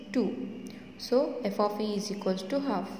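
Light background noise and audible room echo are present in the recording. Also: woman. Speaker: teacher. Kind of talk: lecture. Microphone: phone near.

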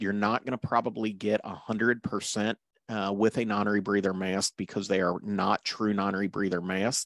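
A moderate pace in a dry sound with no echo, over a quiet background. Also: man. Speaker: paramedic course instructor. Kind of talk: lecture. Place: home room.

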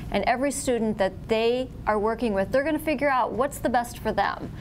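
A woman at a fairly quick pace, against light background noise. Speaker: school board member running for reelection. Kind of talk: candidate forum statement. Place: meeting room. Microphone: lapel.

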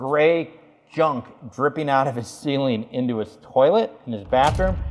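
A man talks at a moderate speed, his pitch varying in an ordinary way. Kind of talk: tutorial. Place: bathroom.

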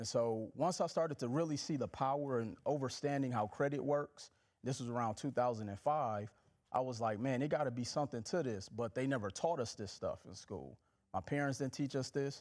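A man with an American accent at a moderate pace, ordinary pitch variation, and a quiet background. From Milwaukee, Wisconsin and Mississippi. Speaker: financial educator and author; financial educator. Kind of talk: casual interview. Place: studio.

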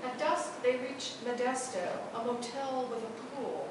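Noticeable background noise and a strong echo from the room. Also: woman. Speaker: poet. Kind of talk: poetry reading, performed poem. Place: hall.

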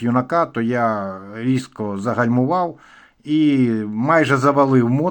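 On a very clean recording with a silent background, a man speaks at medium pitch with ordinary pitch variation. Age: 60s. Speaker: motorcycle vlogger. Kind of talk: casual vlog monologue.

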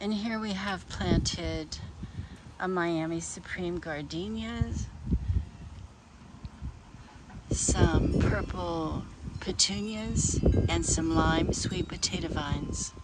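Loud background noise surrounds a woman who speaks at a very slow pace with long, frequent pauses. The sound is dry with no echo. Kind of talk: casual garden tour narration. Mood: pleased, relaxed. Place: garden. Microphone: phone near.

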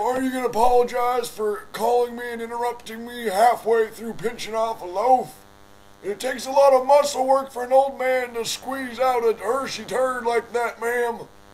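A man puts on a character voice with an extremely high pitch. He speaks at a moderate pace with a monotone, flat intonation. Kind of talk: comic overacting prank call. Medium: solo performance. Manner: rambling, indignant, polite but absurd.

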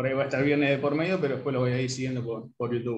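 A man speaks with fairly even intonation. Audible room echo and light background noise come through. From Argentina. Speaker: sociologist. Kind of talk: self-introduction. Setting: video call. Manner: halting. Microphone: video call.

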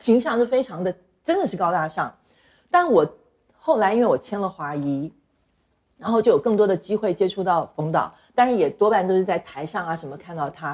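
A fairly quick-paced woman at a medium pitch, broken by long, frequent pauses. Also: lively intonation. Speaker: talk show guest. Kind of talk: casual chat. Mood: animated, expressive storytelling. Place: studio.

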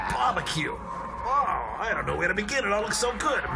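Shouting over loud background noise, a man does a put-on character voice at a moderate pace. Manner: monster voice.

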